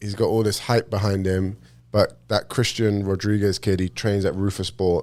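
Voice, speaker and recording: The man's voice sits fairly low, and his intonation stays flat and monotone. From England, London (Cockney family). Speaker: professional MMA fighter. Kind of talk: casual chat.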